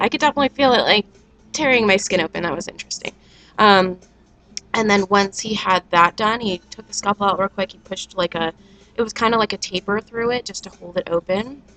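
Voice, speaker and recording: With music in the background, a woman talks at a fairly quick pace with ordinary pitch variation in a dry, close sound with no echo. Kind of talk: casual talk to camera. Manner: hesitant, many fillers.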